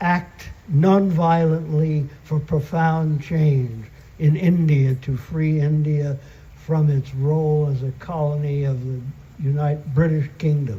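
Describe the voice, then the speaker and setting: A man with a fairly high pitch talks at a very slow pace, his intonation fairly even. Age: 80s+. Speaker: peace activist. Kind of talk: award acceptance speech.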